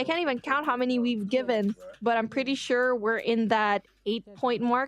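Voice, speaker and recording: A woman in a Filipino accent, high-pitched and animated in tone, at a moderate pace, with a dry, close sound and no echo. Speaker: livestream host. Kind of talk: live commentary.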